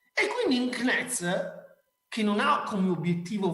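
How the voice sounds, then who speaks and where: A man's raised, projected voice, animated in tone, with lively intonation, a fairly slow pace and audible room echo. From Veneto, Ponte di Piave area. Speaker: marketing speaker. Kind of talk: conference talk. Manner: informal, animated.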